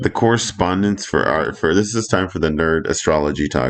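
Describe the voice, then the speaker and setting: A man speaks with lively intonation at a moderate pace. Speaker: astrology and crypto video creator. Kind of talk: casual commentary. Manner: halting, self-interrupting.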